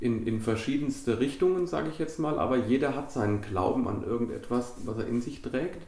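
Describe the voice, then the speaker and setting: A man's medium-pitched voice at a fairly quick pace, with hardly any pauses and ordinary pitch variation, amid noticeable background noise and audible room echo. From Germany, central Hesse (Biedenkopf area). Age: 30s. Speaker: football club chairman. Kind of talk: interview.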